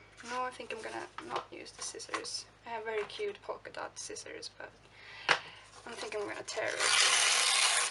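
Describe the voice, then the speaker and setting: A woman speaks at a fairly slow pace in a Swedish accent, with long, frequent pauses. Noticeable background noise runs underneath. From Sweden. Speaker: art journaling vlogger. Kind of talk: casual crafting tutorial narration. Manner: chatty, with fillers and self-corrections.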